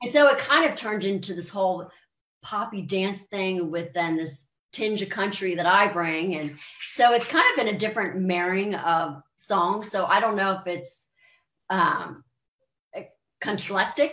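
A woman with an American accent, medium pitch, ordinary pitch variation and a fairly slow pace. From US, Maryland. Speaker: country and pop singer. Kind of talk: interview, casual chat. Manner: animated.

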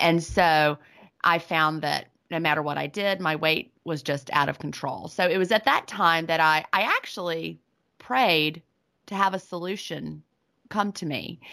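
On a very clean recording with a silent background, a woman with a Southern US accent speaks at a moderate pace in a very deep, low pitch with a bright, sharp tone. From US South. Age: 40s. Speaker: author and retired teacher. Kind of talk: interview.

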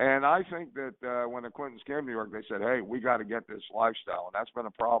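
An American-accented man speaks at a very fast pace with hardly any pauses. His medium pitch shows ordinary variation. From Pittsburgh, Pennsylvania. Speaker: political commentator, panelist. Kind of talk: casual political panel discussion.

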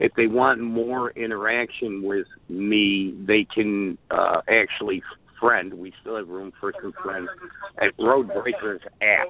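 Against noticeable background noise, a man with a Chicago accent speaks at a very slow pace in a fairly low pitch, with ordinary pitch variation and big swings in loudness. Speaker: truck driver and app developer. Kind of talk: phone interview. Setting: phone call.

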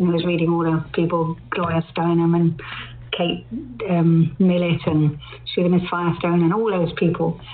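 A woman speaks at a moderate pace and fairly low pitch in a monotone, flat way at very even loudness, with noticeable background noise. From London. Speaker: poet. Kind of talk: interview.

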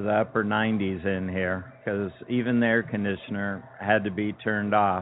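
Using an unremarkable speaking voice, a man talks at a moderate pace with a fairly low pitch and fairly even intonation. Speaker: restaurant owner. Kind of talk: interview answers, casual conversational recollection.

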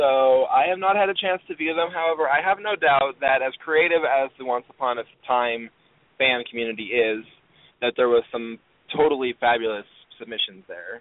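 A man with a normal speaking voice, medium in pitch, with lively intonation at a moderate pace. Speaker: podcast host. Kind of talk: casual chat. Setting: online radio show, phone-in. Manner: excitable, chatty.

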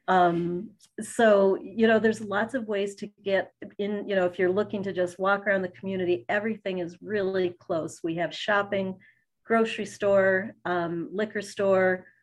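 An ordinary speaking voice from a woman with an American accent, medium in pitch, fairly even in intonation and moderate in pace. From Fairport, near Rochester, New York. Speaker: local tourism partnership representative. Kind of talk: interview.

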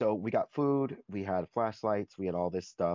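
A dark, mellow tone with an American accent and ordinary pitch variation, dry and close with no echo, against a quiet background. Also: man. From Florida, US. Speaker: discussion circle participant. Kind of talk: personal storytelling in group discussion.

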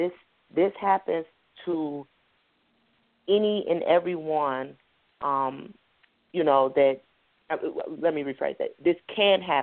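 Her voice is fairly low, with ordinary pitch variation. The woman talks at a very slow pace with long, frequent pauses. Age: 30s. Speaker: author. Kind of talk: interview testimony.

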